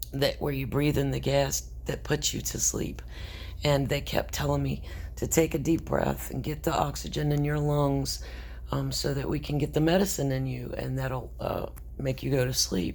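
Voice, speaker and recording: A woman talks at an even, middling pace with room echo clearly audible. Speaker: vlogger. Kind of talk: personal video update.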